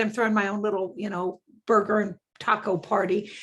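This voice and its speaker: A woman with fairly high pitch at a moderate pace, on a very clean recording with a silent background. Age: 60s. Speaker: real estate agent. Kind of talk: self-introduction on live show.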